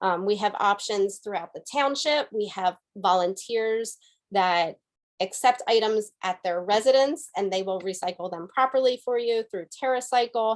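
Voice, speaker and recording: At a moderate pace, a woman of medium pitch speaks with ordinary pitch variation in a plain, everyday voice. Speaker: environmental committee volunteer presenter. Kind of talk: webinar presentation.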